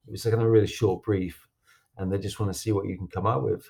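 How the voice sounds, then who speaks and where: The background is silent on this very clean recording. A man speaks in a fairly low, somewhat breathy voice. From northern England, Doncaster. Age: 40s. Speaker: animator and music video director. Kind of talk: interview.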